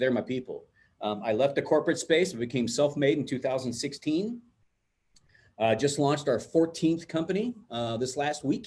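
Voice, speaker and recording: This man's voice sits fairly high and sounds somewhat breathy. His intonation is lively. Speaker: digital marketing entrepreneur and presenter. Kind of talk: webinar presentation. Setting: video call. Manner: fast.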